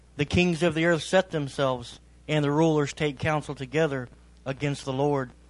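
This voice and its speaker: Against a quiet background, a man with an ordinary speaking voice talks at a moderate pace, his fairly high pitch held in fairly even intonation. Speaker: congregation member reading scripture. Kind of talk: reading aloud.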